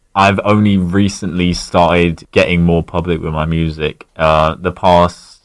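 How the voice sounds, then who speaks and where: This man has a southern English accent. His voice is very deep and low, at a moderate pace. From Berkshire, southern England. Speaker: masked alternative musician. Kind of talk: radio interview. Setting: radio studio.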